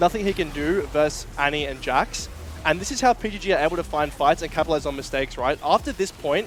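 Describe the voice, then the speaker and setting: A man talks at a very fast pace. Music is heard in the background. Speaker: esports analyst. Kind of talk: live game analysis breakdown.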